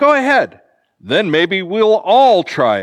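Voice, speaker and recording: Speaking fairly slowly, a man performs a put-on character voice. It sits high in pitch. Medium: read story.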